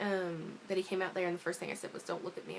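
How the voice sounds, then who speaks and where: A woman talks in a fairly low pitch while background noise is clearly noticeable. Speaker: vlogger. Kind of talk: personal vlog update. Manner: fast.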